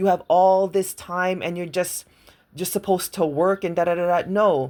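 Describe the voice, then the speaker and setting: Animated and fairly quick, a woman speaks at a fairly low pitch. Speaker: self-help mentor. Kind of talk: motivational talk.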